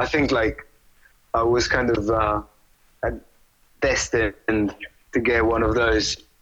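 A man with an Italian accent, at a very slow pace with long, frequent pauses and very even loudness. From Italy. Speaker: rock drummer. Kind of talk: interview. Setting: phone call. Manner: halting, repeating words.

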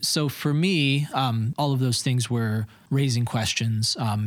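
In a very clean recording with a silent background, a man with an Upper Midwest accent talks at a moderate pace with ordinary pitch variation. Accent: Upper Midwest American. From Michigan, US (east side of the state). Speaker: church employee. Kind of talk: interview. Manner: halting, many fillers.

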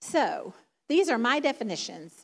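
A woman's voice moves through very wide pitch swings. The recording is very clean, with a silent background. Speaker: preacher. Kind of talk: sermon. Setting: church.

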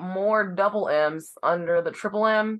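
Here a woman talks at a very slow pace. Her pitch varies in an ordinary way. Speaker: podcast co-host. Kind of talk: casual chat.

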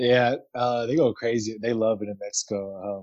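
In an American accent, a man uses a normal speaking voice at a medium pitch and a fairly quick pace. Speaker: pro basketball player. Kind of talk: casual chat.

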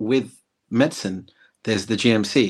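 A medium-pitched male voice with an English accent. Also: very clean recording, silent background. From England. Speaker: former health service manager. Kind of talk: casual interview chat.

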